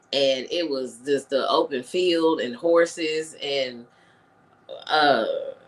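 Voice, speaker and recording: A woman at a very slow pace with a very deep, low pitch and fairly even intonation, over noticeable background noise. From North Louisiana, Shreveport. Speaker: radio host. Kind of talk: casual interview chat.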